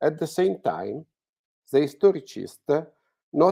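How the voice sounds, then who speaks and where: A man with an Italian accent has a dark, mellow tone. The sound is dry and close with no echo, in a very clean recording with a silent background. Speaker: art historian speaker. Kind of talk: reading aloud. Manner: halting.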